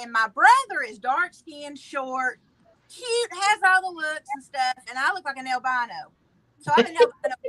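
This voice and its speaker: In a Southern US accent, a woman projects a raised, high, bright and sharp voice with very wide pitch swings at a moderate pace, the sound dry and close with no echo. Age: 40s. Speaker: viewer guest. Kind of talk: casual chat.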